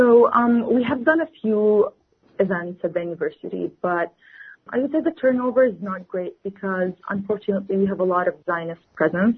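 With an Arabic accent, the speaker talks at a fairly quick pace with lively intonation. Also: woman. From West Bank, Palestine. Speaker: student and activist. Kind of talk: radio interview.

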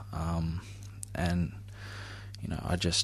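Vocal fry marks the very deep, low voice of a man with an Australian accent. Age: 20s. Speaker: recovering addict. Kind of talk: interview testimony. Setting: radio studio.

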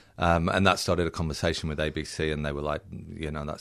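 Talking at a very fast pace, a man with a slight British accent has a very deep, low pitch and fairly even intonation. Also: quiet background. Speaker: film director. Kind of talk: radio interview. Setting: studio.

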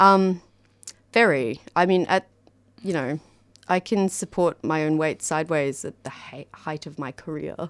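A woman with an Australian accent talks in a very deep, low pitch at a fairly slow pace, leaving long, frequent pauses. The recording is very clean with a silent background, and the sound is dry and close with no echo. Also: ordinary pitch variation. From Australia, Canberra. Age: 30s. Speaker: dancer and community radio volunteer. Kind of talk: interview conversation. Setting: radio studio.

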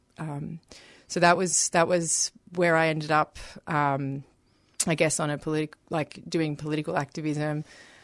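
In a dry, close recording with no echo, a woman with an Australian accent speaks at a moderate pace with a very deep, low pitch, monotone, flat intonation, and long, frequent pauses. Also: quiet background. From Melbourne, Australia. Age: 30s. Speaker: activist. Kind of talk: interview. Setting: radio studio.

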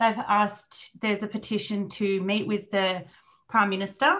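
A woman talks with an Australian accent. Her pitch sits in the medium range and her intonation stays fairly even. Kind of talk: panel discussion on radio.

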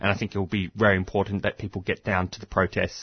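A man with an Australian accent, a very deep, low pitch and monotone, flat intonation. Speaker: community radio presenter. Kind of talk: radio interview. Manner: halting, heavy use of fillers.

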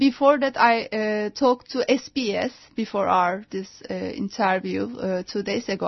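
A woman with a Turkish accent speaks very slowly in a fairly high, somewhat breathy voice. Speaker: anti-nuclear activist and journalist. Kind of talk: radio interview. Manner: halting.

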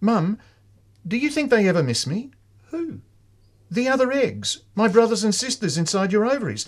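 In a very clean recording with a silent background, a man with a high pitch and lively intonation speaks at a moderate pace, leaving long, frequent pauses. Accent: Australian. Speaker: community radio book show co-host. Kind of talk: radio interview. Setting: studio.

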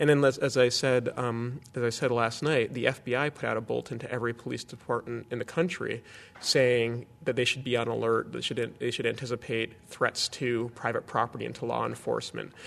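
A man with an American accent talks at a fairly quick pace with hardly any pauses. His medium-pitched voice has vocal fry and a monotone, flat intonation. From US, Boston. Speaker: activist. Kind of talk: interview.

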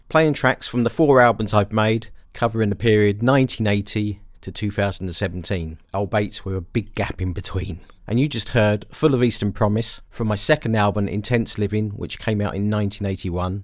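Speaking with an English accent, a man uses a fairly low pitch and ordinary pitch variation, captured on a very clean recording with a silent background. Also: moderate pace. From England. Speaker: musician and music producer. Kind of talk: radio dj patter, introducing his own album tracks. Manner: relaxed, conversational, reflective.

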